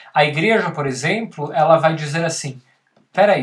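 His intonation is lively. The man keeps a moderate tempo. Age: 30s. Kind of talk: casual chat. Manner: halting.

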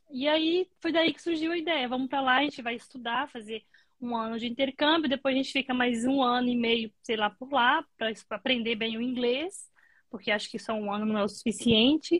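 A woman with a Brazilian accent, high-pitched, with ordinary pitch variation and a dry, close sound with no echo. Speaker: nurse. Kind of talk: casual interview.

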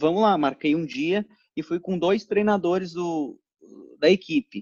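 In a dry, close sound with no echo, a man speaks at a high pitch with ordinary pitch variation. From Brazil, interior of São Paulo state (Ribeirão Preto). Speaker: amateur cyclist and triathlete. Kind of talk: casual interview chat.

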